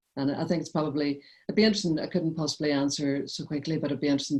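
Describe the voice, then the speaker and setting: Her voice very deep and low, a woman with a strong Northern Irish accent speaks in a dark, mellow tone with fairly even intonation. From Northern Ireland, Derry. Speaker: poet. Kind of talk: literary conversation.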